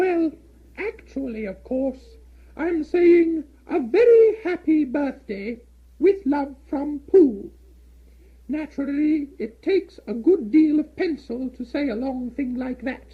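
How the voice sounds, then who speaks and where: The speaker uses a high-pitched put-on character voice at a fairly slow pace. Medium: read story. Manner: earnest, slow.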